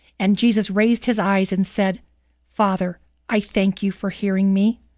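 The recording is very clean, with a silent background and a dry, close sound with no echo, as a woman at medium pitch talks at a moderate pace with fairly even intonation. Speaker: scripture reader, radio commentator. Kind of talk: scripture reading aloud, dramatic narration. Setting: studio. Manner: solemn, measured, dramatic.

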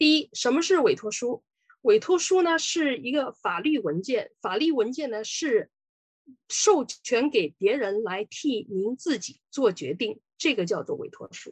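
Her high-pitched voice moves at a fairly slow pace, with very wide pitch swings and big swings in loudness, recorded with a dry, close sound with no echo. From Sichuan, China. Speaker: lawyer. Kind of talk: lecture.

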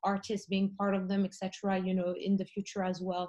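Her voice is somewhat breathy, and the woman talks at a fairly quick pace with monotone, flat intonation. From Morocco. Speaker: art fair founder. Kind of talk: panel discussion.

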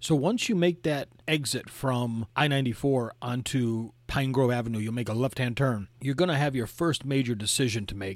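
In a very clean recording with a silent background, a man with an Upper Midwest accent speaks at a moderate pace and medium pitch, with ordinary pitch variation and hardly any pauses. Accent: Upper Midwest American (Michigan). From Michigan, the Thumb region. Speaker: podcast host, travel guide. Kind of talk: travel narration, casual guided tour.

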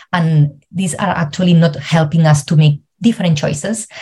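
Fairly even intonation at a moderate pace, with a Spanish accent. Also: woman. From Spain. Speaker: travel coach and psychologist. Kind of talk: interview. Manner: halting.

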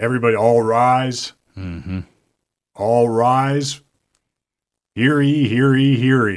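A man puts on a booming character voice of medium pitch with fairly even intonation. He moves at a fairly slow pace with long, frequent pauses. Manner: formal, ceremonial announcing.

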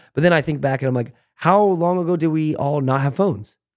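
A man talks with ordinary pitch variation in a very clean recording with a silent background. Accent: American. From United States. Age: 30s. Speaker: former YouTuber and pro football player. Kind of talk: casual chat.

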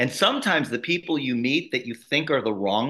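In an American accent, a man with an ordinary speaking voice talks at a moderate pace and medium pitch, his intonation lively. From US Midwest, Chicago south suburbs. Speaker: network marketer and author. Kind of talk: interview conversation.

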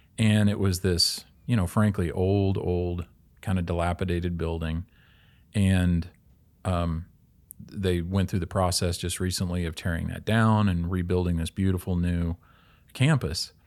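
In a very clean recording with a silent background, a man speaks with a Midwestern American accent. His pitch is very deep and low, his intonation fairly even, and his pace fairly slow. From Kansas City, Kansas. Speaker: college advancement officer, former pastor. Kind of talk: conversion testimony in casual chat. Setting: studio.

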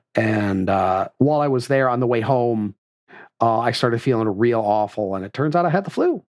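In a very clean recording with a silent background, a man at medium pitch uses lively intonation and vocal fry.

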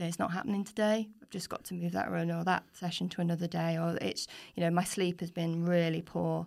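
This woman has an unremarkable speaking voice at a medium pitch. She goes at a fairly quick pace in a very clean recording with a silent background. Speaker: triathlon coach and athlete. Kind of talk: casual interview chat. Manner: friendly, chatty with fillers.

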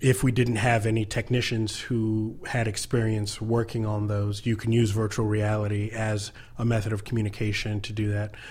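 Somewhat breathy and fairly low, a man's voice moves at a moderate pace in a monotone, flat intonation. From US. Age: 30s. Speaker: nonprofit co-founder, military veteran. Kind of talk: interview. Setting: studio.

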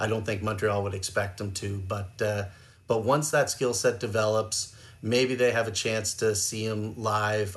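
In a room with audible echo, a man with a fairly low, somewhat breathy voice speaks at a moderate pace. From Canada. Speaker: hockey goaltending scout. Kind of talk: casual chat.

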